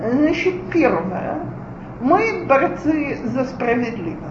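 A woman speaks at a very slow pace with a high pitch. Noticeable background noise and audible room echo fill the recording. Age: 40s. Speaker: lecturer on parenting. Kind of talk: lecture.

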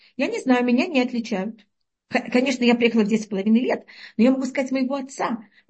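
The speech runs at a very fast pace with ordinary pitch variation. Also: woman, high pitch for a woman. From Uzbekistan. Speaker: Torah teacher giving a weekly lesson. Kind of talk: lecture. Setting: online call with audio problems.

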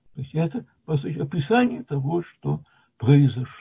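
Pitched fairly high, a man talks at a very slow pace. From Latvia (Soviet Union). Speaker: retired mathematician, lecturer. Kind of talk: lecture.

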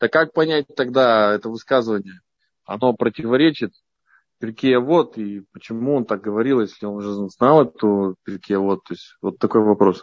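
In a normal speaking voice, a man talks at a moderate pace in a medium pitch with ordinary pitch variation. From Yekaterinburg, Russia. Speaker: yeshiva student asking question. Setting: online call, microphone enabled.

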